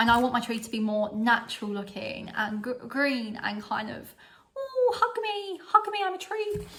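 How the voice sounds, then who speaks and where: A woman speaks in an animated tone with a strong British accent. Noticeable background noise runs under her voice. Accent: strong regional UK. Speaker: vlogger. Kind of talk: casual haul vlog.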